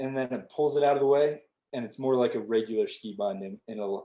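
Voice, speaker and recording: Here is an unremarkable speaking voice: a man at medium pitch, moving at a fairly quick pace. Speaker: outdoor education instructor. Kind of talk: online tutorial.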